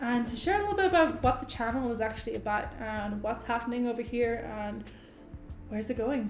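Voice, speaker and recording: A woman's high-pitched voice with an Irish accent and lively intonation, heard with audible room echo and music in the background. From Ireland. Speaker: YouTube co-host. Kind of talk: casual chat.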